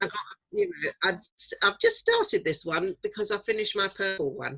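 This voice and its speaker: A woman speaks in a southern English accent. Her pace is fairly quick. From South London and Norfolk, England. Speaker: author. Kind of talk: interview. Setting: writing shed.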